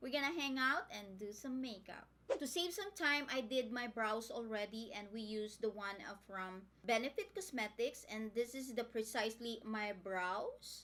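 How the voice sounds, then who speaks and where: Speaking with a Filipino accent, a woman uses lively intonation and a bright, sharp tone. Her pitch is fairly high and her pace moderate. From Philippines. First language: Tagalog. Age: 50s. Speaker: beauty vlogger. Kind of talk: casual makeup tutorial chat.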